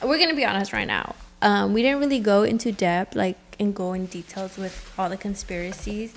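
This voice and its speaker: At a fairly quick pace, a woman with a Spanish accent speaks at a medium pitch with ordinary pitch variation. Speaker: podcast co-host. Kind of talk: casual chat.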